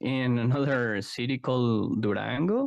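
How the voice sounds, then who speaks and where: A man talks with a Spanish accent. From Mexico, Guadalajara (Jalisco). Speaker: psychologist and card game artist. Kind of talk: interview conversation. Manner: halting, many fillers.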